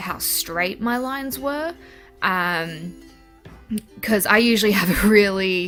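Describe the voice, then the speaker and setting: There is music in the background while a woman talks. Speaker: artist. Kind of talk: casual voice-over narration.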